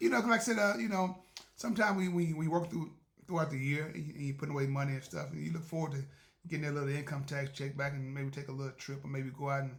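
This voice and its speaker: The voice is somewhat breathy and moves at a very fast pace. Its pitch variation is ordinary. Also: man, fairly high pitch for a man. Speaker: podcast host. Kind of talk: casual monologue. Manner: fast when excited; halting, many repetitions.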